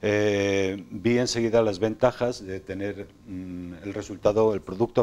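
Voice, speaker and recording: Here a man speaks with ordinary pitch variation. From Spain, Sanabria (Zamora); Spain. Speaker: self-published author; interview guest. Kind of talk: TV interview. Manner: halting, many repetitions. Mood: calm, reflective. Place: studio. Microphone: lapel.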